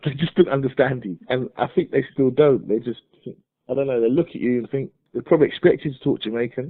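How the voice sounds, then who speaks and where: Talking very fast at a medium pitch, a man speaks with a British accent. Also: ordinary pitch variation. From Nigeria. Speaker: migrant business owner. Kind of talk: interview.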